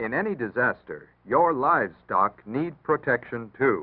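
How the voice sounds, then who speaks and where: In a calm tone with vocal fry, a man speaks at a moderate pace, his pitch swinging very widely. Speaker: announcer. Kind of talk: public service announcement narration. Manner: calm, instructive.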